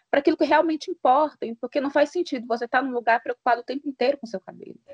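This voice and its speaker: In a dry, close sound with no echo, a woman speaks high with lively intonation. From Brazil, Minas Gerais (Januária). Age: 30s. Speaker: journalist. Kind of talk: podcast interview.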